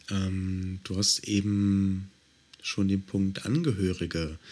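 A man talks at a very slow pace. His pitch is very deep and low. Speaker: podcast host. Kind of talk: interview. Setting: home office.

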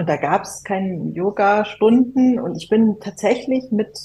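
Her voice is somewhat breathy, with a dark, mellow tone, and this woman speaks at medium pitch with ordinary pitch variation. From Germany. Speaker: musician. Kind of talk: casual chat.

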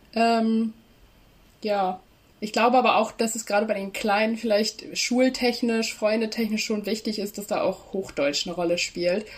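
Somewhat breathy, a woman's voice holds a fairly high pitch and fairly even intonation at a moderate pace. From East Frisia, Leer area. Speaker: student, social media creator. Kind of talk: casual interview. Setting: video call.

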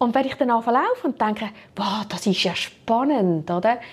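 With lively intonation, a woman talks in a somewhat breathy voice at a fairly high pitch. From Switzerland. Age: 50s. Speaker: HR director. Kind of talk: interview.

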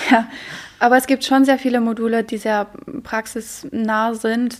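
The speaker has a Polish accent and a fairly slow pace. The intonation is monotone and flat. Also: woman. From Poland. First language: Polish (speaking German). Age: 20s. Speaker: university student. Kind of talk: interview.

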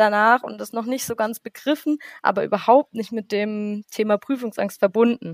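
A woman with an unremarkable speaking voice and fairly high pitch talks at a moderate pace with ordinary pitch variation, the sound dry and close with no echo. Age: 20s. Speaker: student teacher. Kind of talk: interview.

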